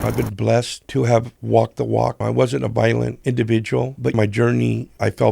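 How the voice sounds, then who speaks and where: A man's very deep, low voice in an American accent, dark and mellow with vocal fry, very wide pitch swings and a moderate pace. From Southern California. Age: 60s. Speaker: business leader. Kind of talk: casual interview.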